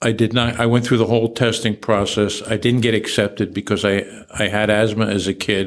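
A man with a New Jersey accent, fairly low in pitch, with monotone, flat intonation. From New Jersey, Trenton. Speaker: retired state police chief. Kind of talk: interview.

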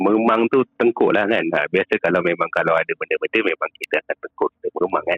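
With music in the background, a man talks with hardly any pauses and keeps his loudness very even. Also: fairly quick pace. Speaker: caller. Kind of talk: casual storytelling. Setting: phone call. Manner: halting.

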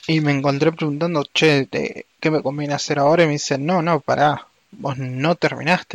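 Speaking with a Rioplatense accent, a man keeps a moderate pace at a fairly high pitch. The sound is dry and close, with no echo. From Argentina. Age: 20s. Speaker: anthropology student. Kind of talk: interview. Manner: halting, with frequent fillers.

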